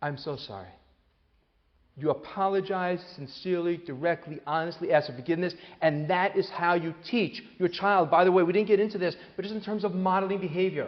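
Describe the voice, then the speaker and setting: Animated in tone, a man with a high pitch speaks at a fairly quick pace. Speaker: psychologist and author giving a parenting talk. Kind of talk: live talk to an audience. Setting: hall with live audience. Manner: fast.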